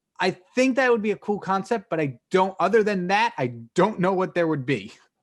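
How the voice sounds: A man talks at a fairly quick pace with lively intonation and a high pitch.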